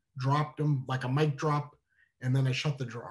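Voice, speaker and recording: A somewhat breathy man with an American accent, talking at a very fast pace. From US Northeast, New Hampshire (Manchester). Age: 40s. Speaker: storyteller. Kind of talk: storytelling performance. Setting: online streaming show. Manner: animated.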